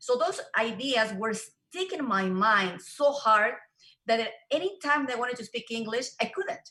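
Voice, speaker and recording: A woman with a Spanish accent speaks at a fairly slow pace, her fairly high voice bright and sharp with lively intonation. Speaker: real estate show host and interpreter. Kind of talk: interview with live interpretation.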